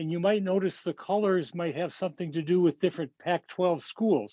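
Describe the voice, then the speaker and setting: Against a quiet background, a man talks at a moderate pace in a high voice with a dark, mellow tone. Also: dry, close sound with no echo. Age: 80s+. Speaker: amateur magician, retired doctor. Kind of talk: magic show patter.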